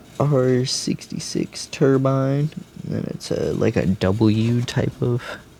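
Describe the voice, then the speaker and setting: A man talks at a very slow pace with an American accent, his pitch medium with ordinary variation. Noticeable background noise runs under the recording. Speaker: diecast toy collector and reviewer. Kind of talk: casual unboxing review. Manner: casual, with many fillers.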